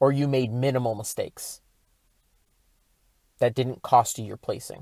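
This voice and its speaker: The tone is dark and mellow, with monotone, flat intonation. The pace is moderate, and the loudness swings widely. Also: man, medium pitch for a man. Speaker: self-help podcaster. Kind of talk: podcast monologue. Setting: in a truck.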